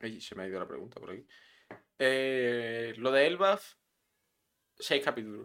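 A man speaks at medium pitch with lively intonation and big swings in loudness. His pace is fairly slow, broken by long, frequent pauses. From Melilla, Spain. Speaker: podcast co-host. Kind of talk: casual chat. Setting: live stream.

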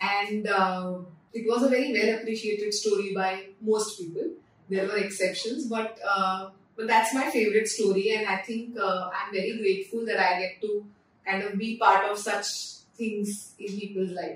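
Over noticeable background noise and audible room echo, a woman with a Marathi Indian accent speaks at a medium pitch and a moderate pace with fairly even intonation. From India, Pune (Maharashtra). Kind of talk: interview. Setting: in her store.

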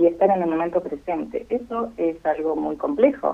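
This woman's pitch is fairly low. She keeps a moderate pace. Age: 40s. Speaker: freediving athlete. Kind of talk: interview. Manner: hesitant, many fillers.

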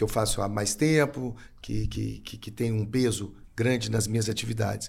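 A somewhat breathy man with a medium pitch, a dark, mellow tone and a moderate pace. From Brazil, Belo Horizonte. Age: 50s. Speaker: event producer and cultural manager. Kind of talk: casual chat. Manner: halting, many fillers and repetitions.

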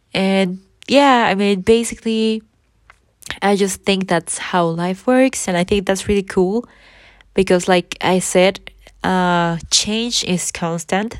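This woman has a plain, everyday voice at medium pitch with fairly even intonation, captured in a very clean recording against a silent background. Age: 20s. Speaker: podcaster. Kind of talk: casual monologue.

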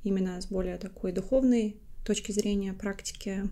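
Pitched at a medium level, a woman speaks in a dark, mellow tone. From Latvia. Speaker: podcast co-host, IT consultant. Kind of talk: casual chat. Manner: talkative.

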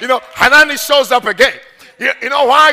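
An animated man's raised, projected voice. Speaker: preacher. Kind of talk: sermon. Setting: church. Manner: animated, urgent, call-and-response exhortation; punchy, laughing, conversational.

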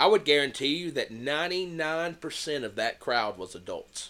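A man's fairly high voice with an American accent, a normal speaking voice at a moderate pace, on a very clean recording with a silent background. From US South, Tennessee. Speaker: podcast co-host. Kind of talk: casual chat.

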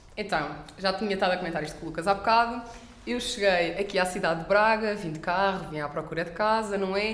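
A woman speaks at a very fast pace. Noticeable background noise and audible room echo are present. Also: medium pitch for a woman, ordinary pitch variation. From Portugal, Coimbra. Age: 20s. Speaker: master's student. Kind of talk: casual chat.

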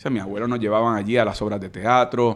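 This man's delivery has a monotone, flat intonation. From Puerto Rico, Caguas. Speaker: senator and lawyer. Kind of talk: casual interview.

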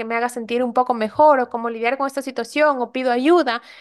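A woman talks in a high pitch at a fairly quick pace. Her intonation is fairly even. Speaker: life coach and podcast host. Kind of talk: solo podcast monologue.

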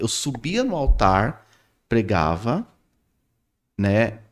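In a very clean recording with a silent background, a man talks in an animated tone with vocal fry. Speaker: podcast host. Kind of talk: casual chat.

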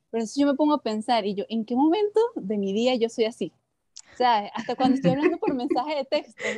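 Talking at a very fast pace, a woman with a high pitch and a dark, mellow tone uses lively intonation, recorded with a dry, close sound with no echo. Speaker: podcast co-host, teacher. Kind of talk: casual chat. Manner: gets louder and higher when excited.

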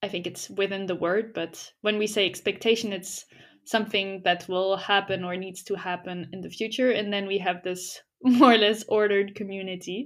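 A woman talks at medium pitch and a moderate pace with monotone, flat intonation. Her loudness swings widely in a very clean recording with a silent background. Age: 20s. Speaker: podcast co-host. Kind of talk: casual chat.

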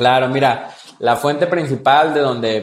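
Talking fairly slowly with ordinary pitch variation, a man uses a plain, everyday voice. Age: 20s. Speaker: entrepreneur and business mentor. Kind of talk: interview.

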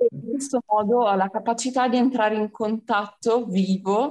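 A woman talks in a normal speaking voice at a moderate pace. Her pitch is fairly high, with ordinary variation. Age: 20s. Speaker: civil service volunteer. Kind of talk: radio interview.

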